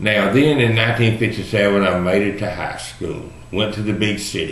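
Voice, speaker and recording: A man with an American accent, fairly low in pitch, at a moderate pace with fairly even intonation, amid noticeable background noise and audible room echo. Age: 60s. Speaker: video blogger. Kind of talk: personal monologue. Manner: casual, folksy.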